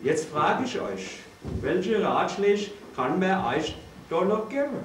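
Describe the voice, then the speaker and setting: Very slow, lively-intoned speech with audible room echo and light background noise. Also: man, high pitch for a man. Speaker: father of the groom. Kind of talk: wedding speech. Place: hall. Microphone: camera far.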